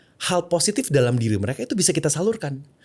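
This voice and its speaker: Using very wide pitch swings, a man with an English accent speaks at a very fast pace. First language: English (speaking Indonesian). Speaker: content creator and personal branding consultant. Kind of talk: podcast interview. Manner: mixes English and Indonesian freely.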